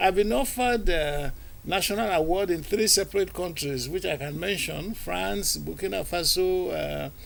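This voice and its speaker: A man talks at a moderate pace, and noticeable background noise can be heard. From Nigeria (born in Aba, southeast). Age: 60s. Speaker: filmmaker. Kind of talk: TV interview. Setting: TV studio.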